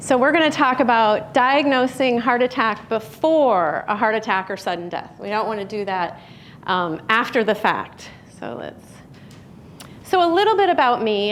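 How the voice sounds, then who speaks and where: A woman with a Chicago accent talks at a fairly high pitch. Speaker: physician and radiologist. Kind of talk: public talk.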